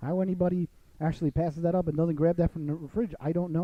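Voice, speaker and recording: A man talks at a very fast pace in a Long Island accent, his pitch high. His tone is animated. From US Northeast, Long Island, New York. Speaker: radio host. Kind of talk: casual talk show chat.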